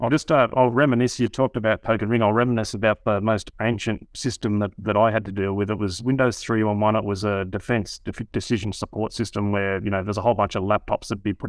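A man with an Australian accent speaks at a very fast pace with hardly any pauses. His fairly low voice keeps fairly even intonation. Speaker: security researcher, guest expert. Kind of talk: casual podcast interview. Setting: video call.

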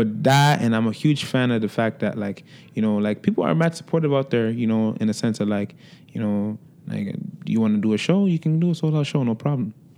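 This man has a Toronto accent and a dark, mellow tone. He talks at a fairly quick pace with lively intonation. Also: medium pitch for a man. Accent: Toronto urban English. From Toronto, Jane and Finch. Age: 20s. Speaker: recording artist. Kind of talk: casual interview. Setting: studio.

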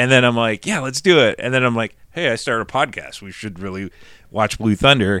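With an American accent, a man speaks fairly quickly in a bright, sharp tone at medium pitch, his pitch varying in an ordinary way while his loudness swings widely. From Nebraska, US Midwest. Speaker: podcast host. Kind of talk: casual chat; solo intro monologue. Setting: tree fort.

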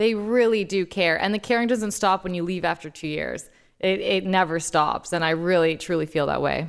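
A woman with a plain, everyday voice, fairly low in pitch with ordinary variation, at a moderate pace, in a very clean recording with a silent background. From Toronto, Canada. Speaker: sports story editor. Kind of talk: casual chat.

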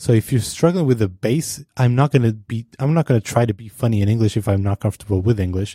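A man with a non-native accent speaks at a very fast pace with hardly any pauses, his medium-pitched voice somewhat breathy, dark and mellow, with ordinary pitch variation. The recording is very clean with a silent background, and the sound is dry and close with no echo. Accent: foreign-accented English. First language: not English. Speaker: podcast host, designer. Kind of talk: casual chat.

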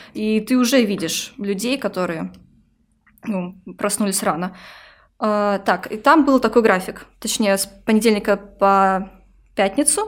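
A medium-pitched woman at a fairly slow pace with ordinary pitch variation and long, frequent pauses, in a very clean recording with a silent background. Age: 20s. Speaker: manager and youth worker, Erasmus participant. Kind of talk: casual interview.

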